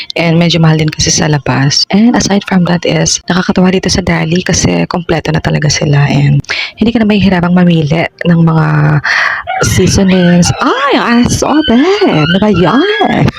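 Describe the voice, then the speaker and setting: Whispering at a moderate pace with very even loudness over noticeable background noise. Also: woman. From Philippines. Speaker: vlogger. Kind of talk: casual vlog voiceover. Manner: whispered.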